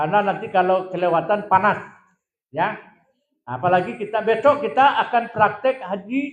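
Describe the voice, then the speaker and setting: A man speaks loudly at a high pitch, with lively intonation and a moderate pace. Audible room echo surrounds the voice. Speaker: hajj pilgrimage guide. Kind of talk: lecture.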